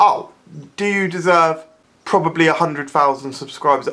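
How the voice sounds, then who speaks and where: Her voice is very deep and low in pitch, with lively intonation. The woman speaks at a fairly slow pace. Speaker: video blogger. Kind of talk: angry comedic rant; mocking impressions of squishy videos. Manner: incredulous, exasperated; sarcastic, animated. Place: home room. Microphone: phone near.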